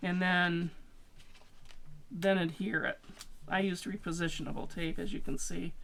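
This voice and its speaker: Speaking at a moderate pace with long, frequent pauses, a woman uses ordinary pitch variation in a space with audible room echo. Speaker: scrapbooking crafter. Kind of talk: tutorial. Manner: casual, rambling with fillers.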